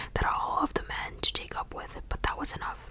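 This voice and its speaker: Whispered words come through noticeable background noise. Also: woman. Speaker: ASMR creator. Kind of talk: whispered audiobook-style reading. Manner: whispering, soft.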